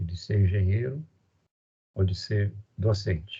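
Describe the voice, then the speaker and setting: Somewhat breathy and dark, mellow in tone, a man speaks at a fairly slow pace and fairly low pitch with ordinary pitch variation. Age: 60s. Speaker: university professor. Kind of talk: lecture. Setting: online recorded class.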